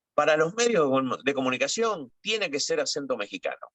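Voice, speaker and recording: A bright, sharp tone with an Argentine accent at a moderate pace. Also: man, dry, close sound with no echo. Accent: Rioplatense Argentine Spanish. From Argentina. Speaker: TV and radio journalist. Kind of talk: interview. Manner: hesitant, many fillers.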